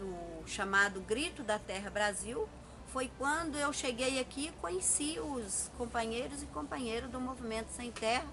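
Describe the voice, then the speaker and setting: A woman speaks at a fairly high pitch with lively intonation and a fairly slow pace. The room echo is audible, and there is noticeable background noise. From Minas Gerais, Brazil (Bom Jesus do Galho area). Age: 60s. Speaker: rural worker and agrarian reform educator. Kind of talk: documentary interview testimony. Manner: halting, with frequent fillers.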